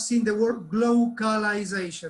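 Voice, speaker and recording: Fairly even intonation at a moderate pace, with an Argentine accent. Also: man. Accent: Argentinian. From Argentina. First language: Spanish. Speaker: teacher trainer. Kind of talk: online workshop talk.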